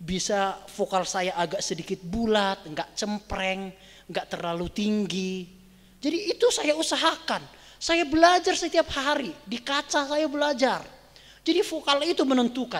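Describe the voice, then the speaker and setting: The speaker has a North Sumatran accent and talks at a fairly slow pace. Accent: Batak dialect. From Batak (North Sumatra), Indonesia. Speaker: pastor teaching preaching. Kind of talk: bible study lecture.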